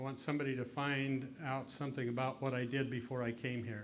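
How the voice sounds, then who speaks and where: A man's medium-pitched voice with an American accent, very fast and monotone, flat, with audible room echo. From Utah. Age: 60s. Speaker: lecturer, former state politician. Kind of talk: interactive lecture.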